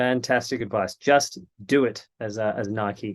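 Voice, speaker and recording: An Australian accent with fairly even intonation over a quiet background. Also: man. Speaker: panel moderator. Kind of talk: panel discussion.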